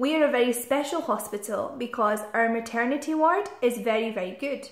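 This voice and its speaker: Ordinary pitch variation at a moderate pace. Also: woman. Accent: west central Scottish. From Scotland. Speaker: guest explaining the health system to students. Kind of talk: informal explanation to foreign students. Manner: clear, simple speech for language learners.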